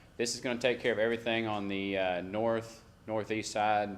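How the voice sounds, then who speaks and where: A man with an American accent speaks in a fairly low, flat monotone. Audible echo from the room surrounds his voice. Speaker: city staff presenting infrastructure projects. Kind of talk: council meeting presentation. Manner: fast.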